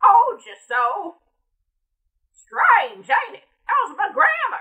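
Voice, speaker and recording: A woman uses a put-on character voice at an extremely high pitch. She speaks at a very slow pace. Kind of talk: voice-over audition read. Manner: sassy, complaining.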